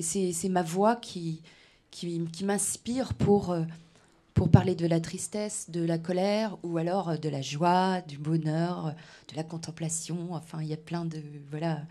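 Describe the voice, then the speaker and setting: A woman speaks at a fairly slow pace with a fairly low pitch and a dark, mellow tone. Her intonation is fairly even, and the recording is very clean, with a silent background. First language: Breton (speaking French). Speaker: singer-songwriter. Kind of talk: radio interview. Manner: hesitant, many fillers.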